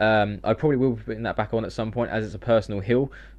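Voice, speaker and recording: Medium in pitch, a man speaks with fairly even intonation. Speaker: gaming YouTuber. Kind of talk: gameplay tutorial. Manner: fast.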